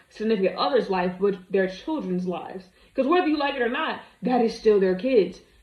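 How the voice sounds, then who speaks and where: A woman's fairly high voice at a fairly quick pace, with noticeable background noise. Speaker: commentary video creator. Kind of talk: reaction commentary. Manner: animated.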